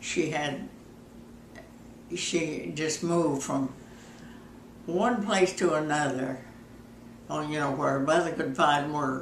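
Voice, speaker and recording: A woman with a very deep, low pitch speaks at a very slow pace, leaving long, frequent pauses. Her pitch variation is ordinary, and there is noticeable background noise. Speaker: grandmother telling life stories. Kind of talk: casual reminiscing in an interview.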